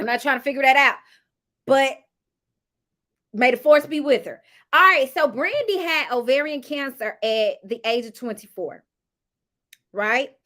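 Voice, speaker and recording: A woman's high, raised and projected voice with a bright, sharp tone, lively intonation, big swings in loudness, long and frequent pauses, and a moderate pace. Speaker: YouTuber reviewing reality TV. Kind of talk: casual review monologue.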